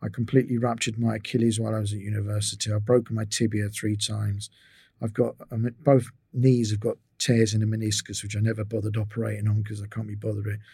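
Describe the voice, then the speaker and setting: At a very fast pace, a man with a fairly low pitch and a dark, mellow tone speaks in a monotone, flat intonation, sounding somewhat breathy on a very clean recording with a silent background. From England. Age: 60s. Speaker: physiotherapist. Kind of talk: interview.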